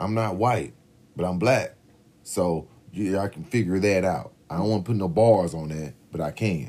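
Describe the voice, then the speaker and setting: A man talks at a moderate pace in a very deep, low, dark and mellow voice with ordinary pitch variation. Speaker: podcast co-host. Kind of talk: casual chat. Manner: loud, animated.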